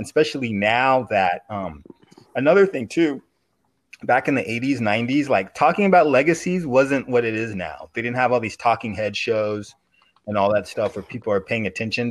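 Speaking at a moderate pace, a man uses a plain, everyday voice at medium pitch with lively intonation. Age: 40s. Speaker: podcast guest, basketball fan. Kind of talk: casual chat.

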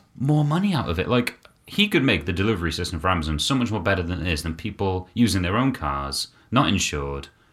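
A man speaks in a British accent at a very fast pace. His pitch is very deep and low, with very wide swings. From UK. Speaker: podcast co-host. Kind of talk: casual chat.

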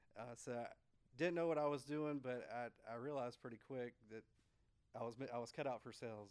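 Fairly quick and fairly even in intonation, a man speaks with an American accent at a medium pitch. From US South, north Florida. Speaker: insurance sales agent. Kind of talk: interview.

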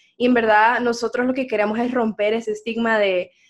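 A woman's fairly high, monotone, flat voice against a quiet background. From Honduras, San Pedro Sula. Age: 20s. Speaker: podcast host, marketing student. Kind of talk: scripted outro; casual chat.

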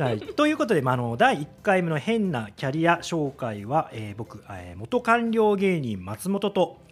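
A man speaks with very wide pitch swings. He leaves hardly any pauses. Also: fairly high pitch for a man, moderate pace. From Kyoto, Japan. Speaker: comedian and former bureaucrat. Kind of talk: casual chat.

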